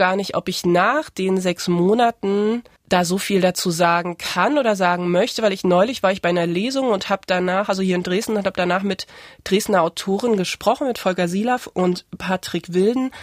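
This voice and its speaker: At a fairly quick pace, a woman speaks in a medium pitch with ordinary pitch variation, on a very clean recording with a silent background and a dry, close sound with no echo. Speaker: author. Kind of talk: interview. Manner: halting.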